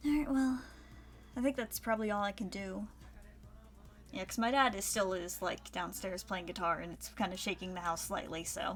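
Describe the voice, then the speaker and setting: A soft-spoken woman at medium pitch and a moderate pace, with lively intonation, long, frequent pauses and music in the background. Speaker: 3D modeling streamer. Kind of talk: casual livestream chat.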